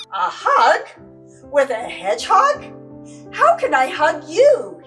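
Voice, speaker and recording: A woman puts on a squeaky character voice at an extremely high pitch, swinging very widely up and down at a fairly slow pace over clear background music. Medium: read story.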